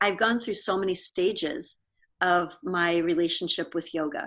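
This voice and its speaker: On a very clean recording with a silent background, a woman with an American accent speaks at a moderate pace in a plain, everyday voice, fairly low in pitch with fairly even intonation. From Pennsylvania, US. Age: 60s. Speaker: yoga studio owner. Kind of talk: interview conversation.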